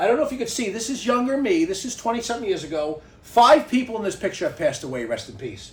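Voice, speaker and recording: With a New York accent, a high-pitched man talks at a very fast pace, and audible room echo surrounds his voice. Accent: New York (Bronx). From New York City (the Bronx). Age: 60s. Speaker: podcast host. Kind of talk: casual chat. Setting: home garage studio. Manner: animated.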